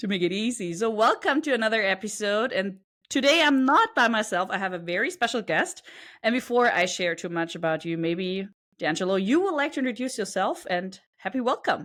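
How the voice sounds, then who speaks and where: Her pitch swings very widely as this woman talks at a fairly quick pace on a very clean recording with a silent background. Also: fairly high pitch for a woman. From Germany. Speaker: podcast host. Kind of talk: podcast interview.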